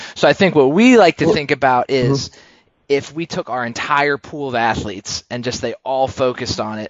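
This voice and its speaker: A man with an American accent and a normal speaking voice, medium in pitch with ordinary pitch variation, at a fairly quick pace with big swings in loudness. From Pennsylvania. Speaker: podcast host. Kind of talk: casual interview chat. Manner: filler-heavy, uh and um.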